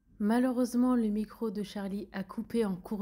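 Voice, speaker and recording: A soft-spoken, somewhat breathy woman with a dark, mellow tone, medium pitch, fairly even intonation and a fairly slow pace. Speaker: singer and vlogger. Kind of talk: narration.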